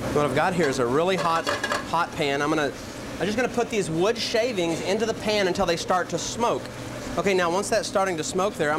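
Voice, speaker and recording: Amid noticeable background noise, a high-voiced man talks very fast with ordinary pitch variation. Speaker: chef cooking show host. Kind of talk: tutorial. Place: kitchen.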